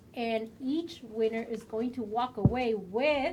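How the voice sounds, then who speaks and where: A woman's animated voice with a strong Mexican accent. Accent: thick Mexican. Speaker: game community livestream host. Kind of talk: live stream chat.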